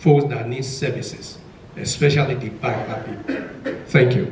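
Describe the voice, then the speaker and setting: A man with a Nigerian accent speaks at medium pitch and a moderate pace, with audible room echo and noticeable background noise. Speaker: panelist, mental health worker. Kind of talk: panel discussion.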